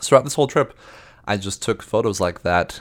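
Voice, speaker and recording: Recorded very cleanly against a silent background, a man speaks with an American accent. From US Southwest (central New Mexico). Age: 20s. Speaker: photographer and podcast host. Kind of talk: casual solo monologue. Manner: halting, many fillers and repetitions.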